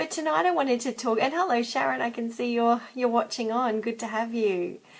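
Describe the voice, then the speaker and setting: A woman talks with a fairly high pitch and lively intonation. Noticeable background noise sits behind her. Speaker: psychologist. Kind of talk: live video chat. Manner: soft-spoken.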